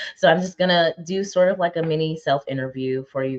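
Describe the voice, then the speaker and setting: This woman talks at a fairly quick pace in a fairly low pitch. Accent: American. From upstate New York, Albany suburb. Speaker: live show host. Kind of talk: casual talk to live viewers. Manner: direct.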